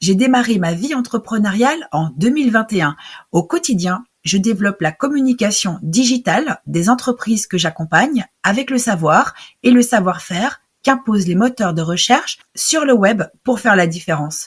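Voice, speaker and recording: Somewhat breathy, a woman with a fairly high pitch talks at a moderate pace, her pitch swinging very widely. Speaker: podcast host and professional coach. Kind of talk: podcast intro.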